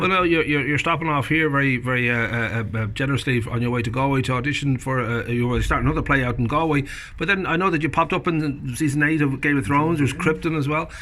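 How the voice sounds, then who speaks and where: Against noticeable background noise, a man talks very fast with hardly any pauses. His pitch is fairly high and varies in an ordinary way. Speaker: interviewer. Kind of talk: casual interview questions.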